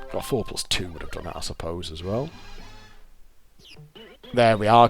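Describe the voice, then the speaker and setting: With music behind him, a man talks using ordinary pitch variation. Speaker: fruit machine player. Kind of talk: casual gameplay commentary.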